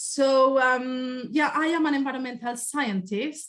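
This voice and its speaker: Here a woman talks with a Spanish accent. Her pace is fairly slow. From Spain. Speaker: environmental scientist. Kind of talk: presentation. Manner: hesitant, with fillers.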